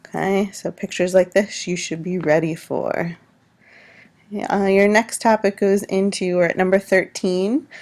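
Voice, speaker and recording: In an ordinary speaking voice, a woman of medium pitch talks at a moderate pace with fairly even intonation, on a very clean recording with a silent background. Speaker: high school science teacher. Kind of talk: recorded test review lecture.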